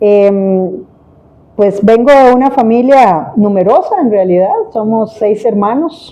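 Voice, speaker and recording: A woman speaks at a very slow pace in a dark, mellow tone. Her pitch varies in an ordinary way. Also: fairly high pitch for a woman. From Costa Rica, San José area. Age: 60s. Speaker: vice-presidential candidate. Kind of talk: interview.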